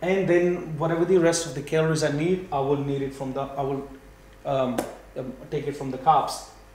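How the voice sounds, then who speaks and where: A man with a fairly high pitch and fairly even intonation is heard with audible room echo and noticeable background noise. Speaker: fitness and nutrition educator. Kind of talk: tutorial. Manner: fast; halting.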